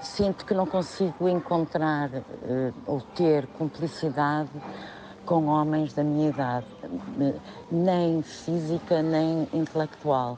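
Speaking very slowly at a very deep, low pitch, a woman has ordinary pitch variation and very even loudness, with a dry sound with no echo and noticeable background noise. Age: 60s. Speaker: caller. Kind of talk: phone-in question. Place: studio. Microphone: studio mic.

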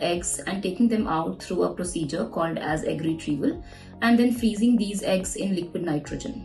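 A woman at a moderate pace, with ordinary pitch variation and faint music in the background. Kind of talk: explainer interview answer. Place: office.

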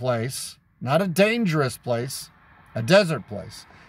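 A man's somewhat breathy voice swings very widely in pitch, with a dry sound and no echo. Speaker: street preacher. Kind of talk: sermon-style teaching with Bible verses. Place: car. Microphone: phone near.

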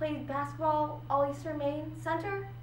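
The speech moves at a fairly slow pace. Light background noise and audible room echo are present. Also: woman. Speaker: actor performing a monologue. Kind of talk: theatrical monologue. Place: classroom. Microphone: camera far.

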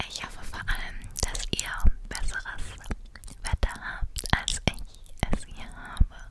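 Very slow whispering from a woman. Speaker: ASMR creator. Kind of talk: soft ASMR chat. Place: home room. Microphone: studio mic.

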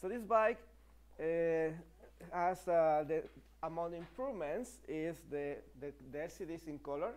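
A man with a Spanish accent, fairly high-pitched, broken by long, frequent pauses. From Mexico. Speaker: e-bike company partner and presenter; presenter. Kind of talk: live stream product presentation. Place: studio.

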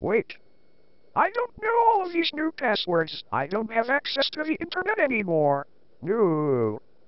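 In a put-on character voice, the speaker talks at a fairly high pitch and a moderate pace. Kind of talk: comic student-film acting. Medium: comedy sketch. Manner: startled, dismayed.

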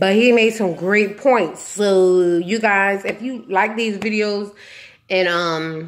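Her intonation stays fairly even. The woman speaks at a very slow pace. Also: medium pitch for a woman. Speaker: YouTuber reviewing TV show; TV show reviewer. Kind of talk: casual vlog review. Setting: walking with handheld camera. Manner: casual, conversational. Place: home room. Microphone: phone near.

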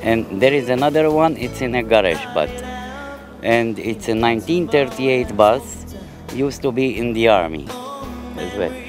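Clear music plays in the background as a man talks at a moderate pace, the sound dry with no echo. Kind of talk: interview answer. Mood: proud, cheerful about his bus. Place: station. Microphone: handheld.

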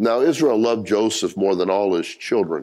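The pace is moderate. The speaker is a man. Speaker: pastor. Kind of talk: sermon. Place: church.

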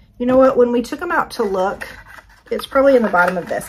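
Enthusiastic and lively in intonation, a woman speaks in a high voice over noticeable background noise. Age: 50s. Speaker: lifestyle YouTuber doing product hauls. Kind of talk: casual product haul review. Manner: chatty, enthusiastic.

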